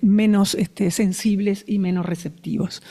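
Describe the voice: With a dark, mellow tone, a woman talks at a medium pitch and moderate pace with fairly even intonation.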